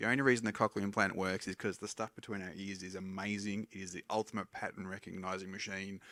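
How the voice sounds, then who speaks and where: The speaker mumbles at a fairly quick pace in a monotone, flat intonation and a bright, sharp tone, on a very clean recording with a silent background. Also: man. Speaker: hearing scientist. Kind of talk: public lecture. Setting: stage with audience. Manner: tends to mumble a little.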